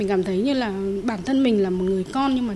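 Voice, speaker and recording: Over noticeable background noise, the words come very fast with ordinary pitch variation. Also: woman. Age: 40s. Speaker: blood donor. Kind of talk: radio interview testimony.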